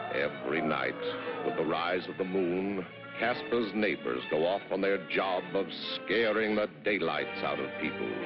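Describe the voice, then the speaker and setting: A man's fairly low pitch comes through over music in the background. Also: fairly slow pace. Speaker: narrator. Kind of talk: cartoon narration. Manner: playful, storytelling.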